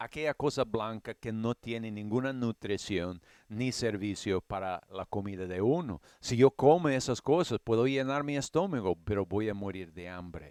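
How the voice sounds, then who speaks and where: A man with an English accent talks at a fairly slow pace, his pitch fairly low with ordinary variation. The sound is dry and close with no echo, on a very clean recording with a silent background. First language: English (speaking Spanish). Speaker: Bible teacher. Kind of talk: Bible study lecture. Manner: halting, with fillers and restarts.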